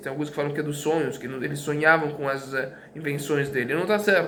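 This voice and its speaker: Audible room echo and noticeable background noise surround a man's speech. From Brazil. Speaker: teacher. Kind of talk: lecture. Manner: halting, many fillers and repetitions.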